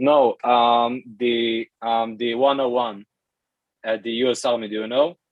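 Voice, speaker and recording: With an Israeli accent, a man speaks at a medium pitch in monotone, flat intonation. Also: fairly slow pace. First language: Hebrew. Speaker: language learner. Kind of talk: casual chat. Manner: halting.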